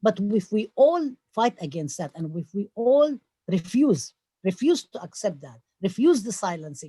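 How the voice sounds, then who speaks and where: In a Palestinian accent, the speaker has a dark, mellow, somewhat breathy tone, a moderate pace, very wide pitch swings and big swings in loudness, in a dry, close sound with no echo. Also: woman, medium pitch for a woman. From Palestine. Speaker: professor. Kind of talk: town hall talk. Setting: video call. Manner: animated.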